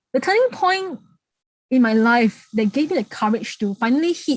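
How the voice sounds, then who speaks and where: A woman's moderate-paced, lively intonation with a Singaporean accent, in a dry, close sound with no echo. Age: 30s. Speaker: heritage speaker. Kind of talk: public talk. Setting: online talk. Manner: halting, repetitive.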